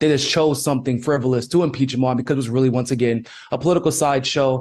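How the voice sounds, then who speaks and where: This man talks at a very fast pace, with fairly even intonation. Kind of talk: interview.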